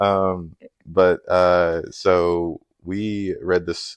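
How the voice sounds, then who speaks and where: Against a quiet background, a man speaks loudly in a very deep, low pitch. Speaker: book reviewer. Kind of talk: casual chat.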